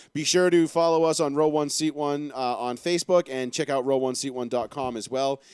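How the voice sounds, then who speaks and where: A man speaks with a Boston accent. The recording is very clean, with a silent background. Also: dry, close sound with no echo. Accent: Boston-area. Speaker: sports talk show host. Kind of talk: live sports talk show.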